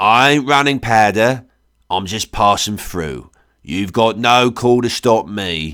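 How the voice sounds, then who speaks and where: In a put-on character voice, a man speaks gravelly at a medium pitch and a fairly slow pace, on a very clean recording with a silent background. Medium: read story. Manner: gruff, evasive drawl.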